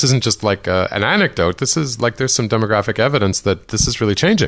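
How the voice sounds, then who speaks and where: A man talks very fast over noticeable background noise. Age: 50s. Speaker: podcast host. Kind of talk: interview.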